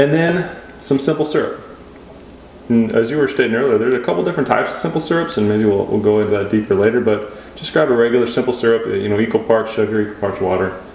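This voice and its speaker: Talking at a very fast pace with lively intonation, a man at a medium pitch comes through audible room echo and noticeable background noise. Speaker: cocktail show co-host. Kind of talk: casual cocktail tutorial. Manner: casual, jokey.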